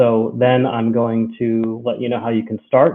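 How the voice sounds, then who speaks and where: With an American accent, a man speaks at medium pitch and a moderate pace in an ordinary speaking voice. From United States. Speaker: cloud solutions architect. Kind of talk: technical webinar presentation. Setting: live-streamed webinar from home. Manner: many filler words (um, uh).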